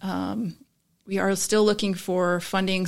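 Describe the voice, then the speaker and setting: With an American accent, a woman speaks at a medium pitch with vocal fry. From Florida, Tampa. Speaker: arts and culture show creator. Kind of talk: casual interview.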